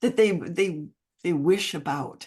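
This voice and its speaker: Against a quiet background comes a normal speaking voice. It moves at a fairly slow pace with lively intonation. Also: woman. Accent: American. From United States. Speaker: mentoring program founder. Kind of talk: podcast interview. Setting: call.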